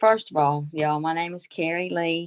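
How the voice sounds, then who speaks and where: Speaking at a fairly slow pace in a Southern US accent, a woman with a fairly low pitch sounds dry and close, with no echo. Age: 60s. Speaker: direct sales consultant. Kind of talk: casual group chat.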